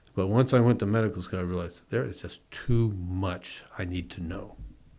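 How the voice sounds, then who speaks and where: This man has an American accent and a very deep, low pitch. He speaks at a moderate pace with fairly even intonation. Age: 70s. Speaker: retired physician and real estate investor. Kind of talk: casual interview chat.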